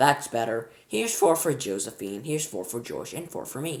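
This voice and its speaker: A man's raspy, put-on character voice at a medium pitch, with very wide pitch swings and a moderate pace. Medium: read story. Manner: shrill, squabbling.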